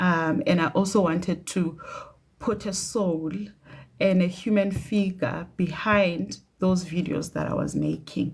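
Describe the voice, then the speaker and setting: With vocal fry and a fairly low pitch, a woman speaks at a fairly slow pace with ordinary pitch variation. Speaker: doctor. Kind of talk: casual livestream chat. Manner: hesitant.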